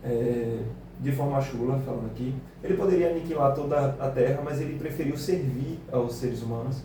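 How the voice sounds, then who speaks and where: A man with a northeastern Brazilian accent at a moderate pace, fairly high pitch and fairly even intonation, with audible room echo and noticeable background noise. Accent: northeastern Brazilian speech traits. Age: 20s. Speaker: teacher. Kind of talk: radio interview. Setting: radio studio.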